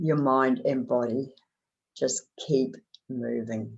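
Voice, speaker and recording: A woman speaking very slowly with a New Zealand accent. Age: 70s. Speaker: motivational speaker. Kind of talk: motivational talk.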